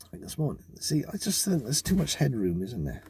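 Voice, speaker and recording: A man's fairly high-pitched voice has a dark, mellow tone and is somewhat breathy. His pitch swings very widely. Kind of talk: casual talk to camera. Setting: in a car.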